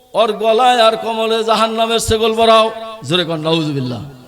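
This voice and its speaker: A man speaks with very wide pitch swings. Audible room echo and noticeable background noise surround his voice. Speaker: Islamic preacher. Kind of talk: sermon. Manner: loud, rousing with crowd call-and-response.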